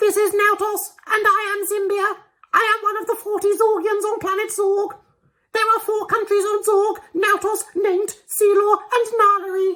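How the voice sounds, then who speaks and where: This put-on character voice sounds robotic, with an extremely high pitch and monotone, flat intonation. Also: moderate pace. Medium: read story. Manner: robotic, hard to understand.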